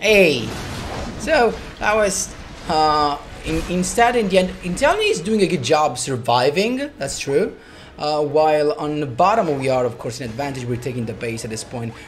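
A man talks at a moderate pace and fairly high pitch. His pitch swings very widely over light background noise. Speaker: gaming commentator. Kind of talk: gameplay commentary. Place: home room.

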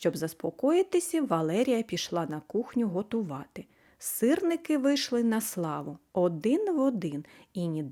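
A natural voice reading text aloud

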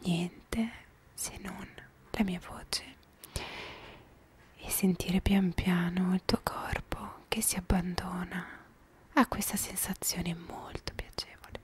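A woman whispering, with long, frequent pauses. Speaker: ASMR creator. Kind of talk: soft-spoken ASMR talk. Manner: soft, slow, close-mic ASMR voice. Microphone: handheld.

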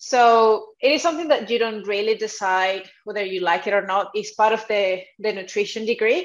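The speech runs with hardly any pauses. Pitch varies in an ordinary way. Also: woman, moderate pace. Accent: Spanish. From South America. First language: Spanish. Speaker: dietitian. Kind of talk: podcast interview. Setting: video call. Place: home room.

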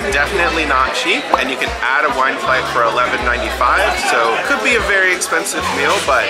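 Over loud music in the background, a man speaks at a fairly quick pace. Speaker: food vlogger. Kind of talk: casual vlog chat. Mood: cheerful, relaxed. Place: cafe. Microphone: phone near.

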